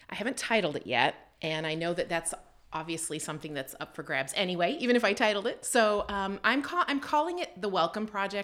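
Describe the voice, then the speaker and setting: A woman with a Canadian accent at a fairly quick pace, lively in intonation, amid noticeable background noise. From Canada. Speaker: photographer and aspiring author. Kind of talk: interview.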